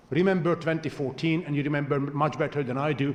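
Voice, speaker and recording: The speech races along at a very fast pace with fairly even intonation. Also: man. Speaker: panelist on foreign policy. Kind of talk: panel discussion.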